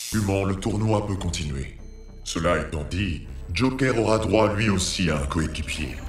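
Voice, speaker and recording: In a cartoonish character voice, a man speaks at a moderate pace and a fairly low pitch, with clear background noise and a slight echo. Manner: cold, formal, imperious.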